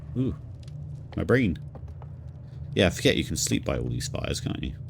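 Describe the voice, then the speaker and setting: A man with a very deep, low pitch talks at a fairly quick pace, his pitch swinging very widely. Noticeable background noise and audible room echo fill the recording. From southern England. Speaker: video game streamer. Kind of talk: live gameplay commentary.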